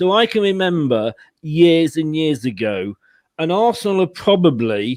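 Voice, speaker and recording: A man's fairly high voice at a fairly slow pace, with very wide pitch swings. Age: 60s. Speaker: football fan. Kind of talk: casual chat.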